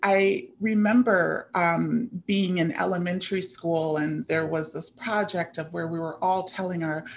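Light background noise sits behind a woman's voice. She speaks at a fairly slow pace with ordinary pitch variation. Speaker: presenter. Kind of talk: presentation talk. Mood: earnest, reflective. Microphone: webcam.

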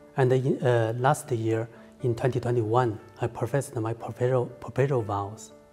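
With faint music in the background, a man talks at a fairly slow pace with a Chinese accent and fairly even intonation. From China. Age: 30s. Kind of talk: personal testimony to camera. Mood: calm, sincere. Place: home room.

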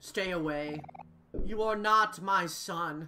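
A female-sounding put-on character voice comes at a medium pitch and a very slow pace. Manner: tearful, emotional.

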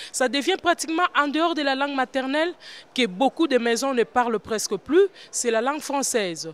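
In a Congolese accent, a woman with a high pitch and lively intonation talks at a moderate pace, the sound dry with no echo. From DR Congo. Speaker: women's political activist. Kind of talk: interview. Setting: conference forum. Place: hall. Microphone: handheld.

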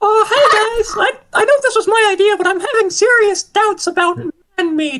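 Someone performs a put-on character voice, pitched extremely high. The speed is moderate. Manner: comic, cheerful.

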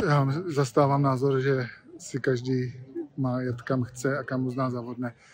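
Over light background noise, a man speaks in a flat, monotone way, the sound dry and free of echo. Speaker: panel discussion participant. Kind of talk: interview. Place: garden. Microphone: phone near.

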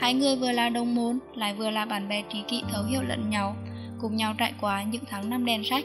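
A woman's moderate pace comes through with music in the background. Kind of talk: documentary film narration.

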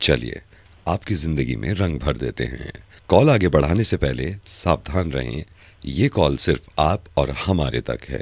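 A man talks at a very slow pace in a very deep, low voice with vocal fry. The sound is dry, with no echo. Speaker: comedian doing prank call. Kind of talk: mock automated phone menu voice. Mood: playful, suppressed smiling. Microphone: studio mic.

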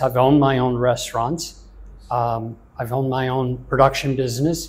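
At a moderate pace, a man speaks with an American accent. His intonation is monotone and flat, and his voice is somewhat breathy. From US South. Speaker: chef; interviewee. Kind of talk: interview. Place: office. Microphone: lapel.

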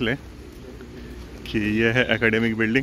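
A man's bright, sharp tone with monotone, flat intonation, a dry sound with no echo and light background noise. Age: 30s. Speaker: law student and vlogger; vlogger. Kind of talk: casual vlog talk to camera. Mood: reflective, nostalgic. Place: open country. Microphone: phone near.

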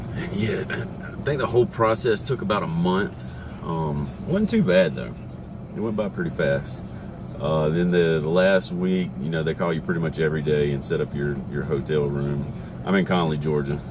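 Noticeable background noise sits under a man with a very deep, low pitch, speaking at a moderate pace with ordinary pitch variation. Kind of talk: casual vlog chat. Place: car. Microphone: phone near.

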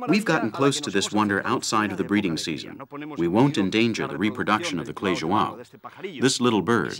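Over noticeable background noise, a man talks very fast at a fairly low pitch. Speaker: presenter. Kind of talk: nature documentary presentation. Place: open country.

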